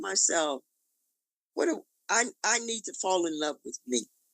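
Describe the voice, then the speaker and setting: A woman talks at a moderate pace in a bright, sharp tone with vocal fry. The sound is dry and close, with no echo. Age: 70s. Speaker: interview guest. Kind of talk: testimony.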